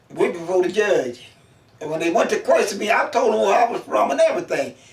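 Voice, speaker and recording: The words come at a very fast pace while noticeable background noise persists. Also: man. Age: 90s. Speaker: oral history interviewee. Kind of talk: life story interview.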